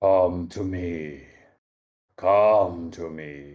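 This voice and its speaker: A man puts on a character voice with a very deep, low pitch. The recording is very clean, with a silent background. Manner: powerful, commanding.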